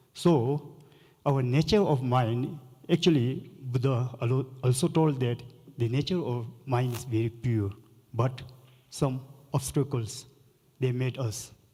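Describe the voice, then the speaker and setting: Long, frequent pauses mark this man's fairly slow delivery, his dark, mellow tone somewhat breathy. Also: medium pitch for a man, ordinary pitch variation. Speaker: Buddhist lama, panelist. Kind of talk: panel discussion.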